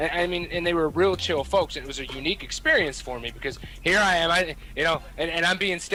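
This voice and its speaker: Music plays in the background as a man talks at a very fast pace. He has a fairly high pitch and an American accent. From Kentucky. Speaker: radio personality, military member. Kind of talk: casual chat. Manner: animated.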